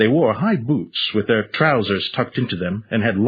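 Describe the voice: The words are read out plainly. Intonation rises and falls in a lively way.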